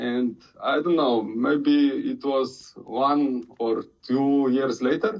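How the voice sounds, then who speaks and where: With a Slovenian accent, a man speaks at a fairly high pitch. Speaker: crypto community member. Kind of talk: casual community chat. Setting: online audio room. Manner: halting, many hesitations.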